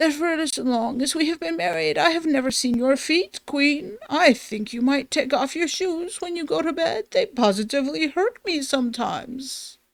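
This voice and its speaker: A woman's high-pitched, put-on character voice with hardly any pauses. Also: moderate pace. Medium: read story. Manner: pompous, dignified.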